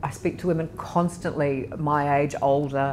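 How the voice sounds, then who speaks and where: Ordinary pitch variation in an Australian accent. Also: woman. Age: 60s. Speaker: interviewee on aging and poverty. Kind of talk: personal testimony interview.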